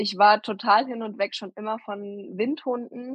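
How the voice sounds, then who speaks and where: Against a quiet background, a woman with a fairly high voice speaks very slowly with fairly even intonation. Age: 20s. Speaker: mother and dog owner. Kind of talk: interview.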